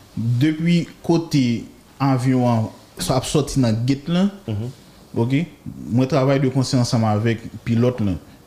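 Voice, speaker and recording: At a very slow pace, a man with a medium-pitched, somewhat breathy voice and a dark, mellow tone speaks with ordinary pitch variation. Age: 30s. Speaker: air traffic controller. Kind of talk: interview.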